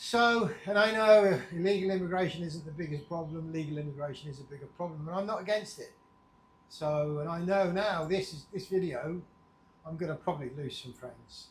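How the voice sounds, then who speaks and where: Here a man with an English accent talks at a fairly quick pace, his pitch high with ordinary variation. His loudness swings widely. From England. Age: 60s. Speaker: vlogger. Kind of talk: casual vlog monologue. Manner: unscripted, meandering.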